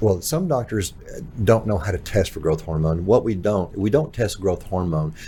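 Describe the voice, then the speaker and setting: An unremarkable speaking voice from a man, fairly low in pitch, with lively intonation and a moderate pace. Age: 60s. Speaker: pharmacist. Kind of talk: casual chat.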